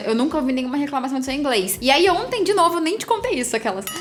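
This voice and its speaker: A woman is speaking. Noticeable background noise and audible room echo come through. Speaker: travel vlogger. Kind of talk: casual chat.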